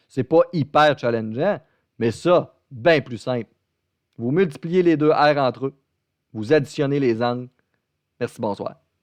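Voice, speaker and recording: A man's medium-pitched voice in a Beauce accent, fairly slow with long, frequent pauses, in a dry, close sound with no echo. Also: ordinary pitch variation. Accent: Québécois French, Beauce. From Quebec, Beauce region. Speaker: math teacher. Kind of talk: online lecture. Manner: talkative, casual and joking.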